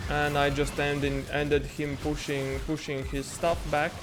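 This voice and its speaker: The speech unfolds fairly slowly while music plays underneath. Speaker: video game streamer. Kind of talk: casual talk while commentating a game replay.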